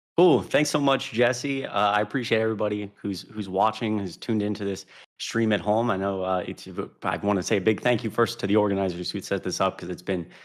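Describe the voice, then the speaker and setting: A man with a plain, everyday voice and a fairly low pitch talks at a fairly quick pace with ordinary pitch variation, on a very clean recording with a silent background. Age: 20s. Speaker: political commentator and panel moderator. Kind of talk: casual intro then live panel moderation. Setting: live stream panel.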